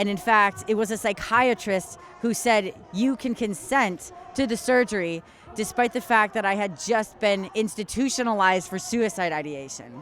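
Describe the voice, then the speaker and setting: Over noticeable background noise, a woman with a fairly high voice talks at a moderate pace with lively intonation. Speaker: detransitioner speaking out. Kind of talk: interview testimony.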